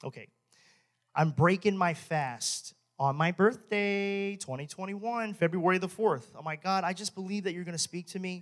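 Speaking at a moderate pace, a man with a high pitch uses an animated tone and ordinary pitch variation. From Texas. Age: 30s. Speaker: pastor. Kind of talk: sermon.

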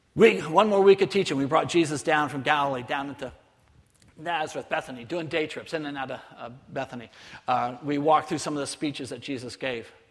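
A man with a normal speaking voice talks at a fairly quick pace and fairly high pitch, with ordinary pitch variation and big swings in loudness. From southern California, near Mexican border. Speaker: missionary. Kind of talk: sermon.

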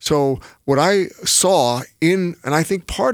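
A man talks with a slight New York accent. His pitch variation is ordinary. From New York City. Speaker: pastor. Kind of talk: casual chat.

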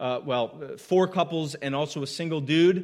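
Moving at a moderate pace, a man with an unremarkable speaking voice shows ordinary pitch variation. The recording is very clean over a silent background. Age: 30s. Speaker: pastor. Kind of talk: sermon. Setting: church.

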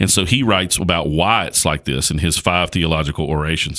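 In a very deep, low voice with a bright, sharp tone, a man speaks at a fairly quick pace. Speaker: pastor. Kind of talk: casual chat about theology. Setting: studio.

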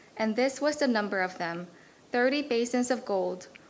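A normal speaking voice at a moderate pace. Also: woman. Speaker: scripture reader. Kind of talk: reading aloud. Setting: church.

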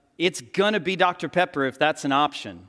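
Lively intonation marks this man's high-pitched voice, with a bright, sharp tone and a Texan accent. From Texas. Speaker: pastor. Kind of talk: sermon. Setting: church.

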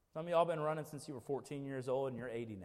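A man's very fast speech at a medium pitch, with audible room echo. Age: 30s. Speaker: pastor. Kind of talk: sermon. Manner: animated.

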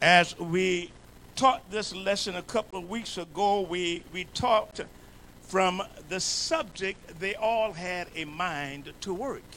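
A man with an American accent speaks in a high, raised, projected voice. His pace is very slow. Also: ordinary pitch variation. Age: 70s. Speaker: bishop, pastor. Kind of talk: sermon. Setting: church. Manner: animated.

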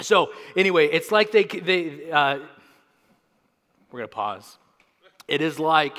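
A man uses a put-on, raspy character voice at a fairly high pitch with lively intonation. He talks at a fairly slow pace, leaving long, frequent pauses.

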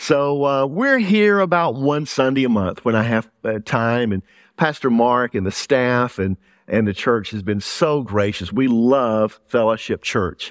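A man with a Southern US accent talks at a fairly slow pace and medium pitch with lively intonation. The sound is dry and close with no echo, over a quiet background. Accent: Southern US, noticeable. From Louisiana, US South. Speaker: pastor. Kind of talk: sermon. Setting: church with congregation.

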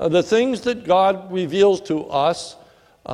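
What you hear is a natural reading voice.

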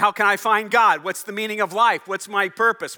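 A raised, projected voice with a bright, sharp tone moves at a fairly quick pace. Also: man. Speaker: pastor. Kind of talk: sermon. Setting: church. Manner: fast.

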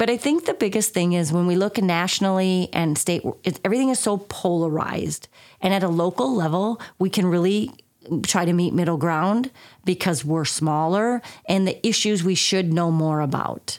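On a very clean recording with a silent background, a woman with an unremarkable speaking voice talks at a moderate pace and medium pitch, with ordinary pitch variation and very even loudness. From southern Minnesota. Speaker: chamber of commerce executive director. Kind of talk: interview conversation.

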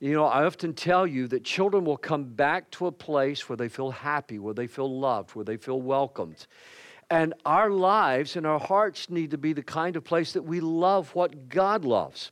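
A man with a plain, everyday voice, moderate pace and ordinary pitch variation. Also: fairly high pitch for a man, quiet background. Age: 60s. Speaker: pastor. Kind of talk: sermon. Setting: church.

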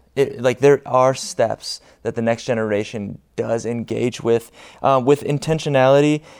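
A man talks at a moderate pace in a plain, everyday voice, with medium pitch and ordinary pitch variation. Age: young. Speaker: student ministries pastor. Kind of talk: church panel discussion. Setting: church stage with congregation.

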